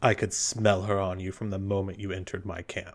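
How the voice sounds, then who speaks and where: A man's put-on character voice, fairly low and flat, at a fairly quick pace. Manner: menacing, contemptuous.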